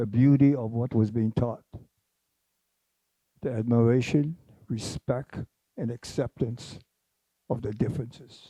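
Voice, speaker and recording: With a Hawaiian accent, this voice has a dark, mellow tone and a fairly slow pace with long, frequent pauses, recorded with a dry, close sound and no echo. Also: man, medium pitch for a man. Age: 80s+. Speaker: former mayor. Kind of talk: panel discussion.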